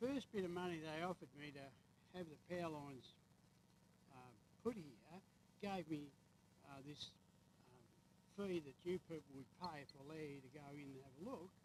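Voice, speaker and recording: A man with a rural Australian accent talks at a moderate pace in a fairly high pitch, with ordinary pitch variation. His loudness swings widely, and he takes long, frequent pauses. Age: 80s+. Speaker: farmer. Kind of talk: heated debate.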